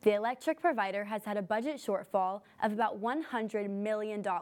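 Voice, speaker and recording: A woman's ordinary speaking voice, fairly high-pitched and fairly quick, on a very clean recording with a silent background. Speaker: news anchor. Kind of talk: newsreading. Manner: formal, steady, brisk scripted delivery.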